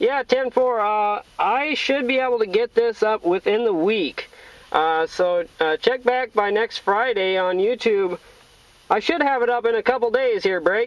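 Ordinary pitch variation colors speech delivered at a fairly slow pace. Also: man, high pitch for a man.

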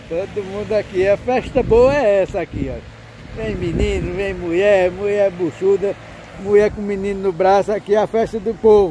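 A moderate pace, a dry sound with no echo and light background noise. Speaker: commentator. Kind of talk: commentary. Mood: upbeat, promotional. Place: farm machine. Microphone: phone near.

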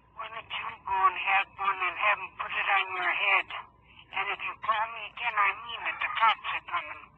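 Delivered at a moderate pace, the speech is monotone with flat intonation and big swings in loudness, set against loud background noise. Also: woman. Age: old. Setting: phone line. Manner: angry, cursing. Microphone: phone line.

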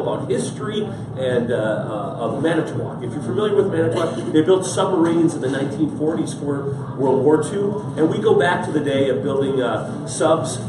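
There is noticeable background noise and audible room echo as a man talks at a moderate pace with ordinary pitch variation. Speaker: guest. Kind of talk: interview answer. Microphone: camera far.

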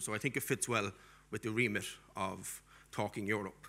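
This is a man speaking. He has a strong Cork accent. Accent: strong Irish (Cork). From Ireland, Cork. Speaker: diaspora policy expert and lecturer. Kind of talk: conference keynote lecture; panel discussion. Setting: stage with audience. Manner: animated. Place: hall. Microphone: podium.

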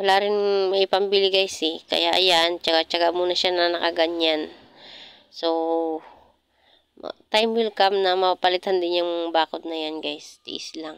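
Against a quiet background, a woman with a fairly low pitch talks at a fairly slow pace. Her intonation is monotone and flat, and the sound is dry with no echo. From Philippines. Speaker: vlogger. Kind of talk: casual vlog narration. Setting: outdoors in garden. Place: garden.

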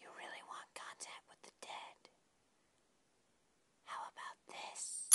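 In a put-on character voice, the speaker delivers an extremely high, raspy sound at a fairly slow pace. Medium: cartoon. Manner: bitter, then menacing.

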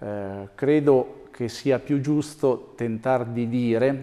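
Against a quiet background, a man talks in a dark, mellow tone with ordinary pitch variation. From Umbria. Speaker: mayoral candidate, former mayor; candidate, former mayor. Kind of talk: TV interview. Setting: TV studio. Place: studio. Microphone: lapel.

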